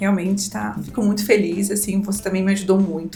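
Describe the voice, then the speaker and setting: Music plays in the background as a woman speaks at a medium pitch, her voice carrying audible room echo. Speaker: lawyer. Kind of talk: podcast interview.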